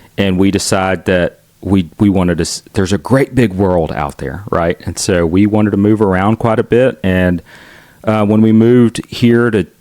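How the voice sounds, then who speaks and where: This voice carries a Southern US accent with ordinary pitch variation. The sound is dry and close, with no echo. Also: man, fairly low pitch for a man. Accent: Southern drawl. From US South, Chattanooga, Tennessee. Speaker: son of a Filipino immigrant doctor. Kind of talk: interview. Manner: halting, many fillers and restarts.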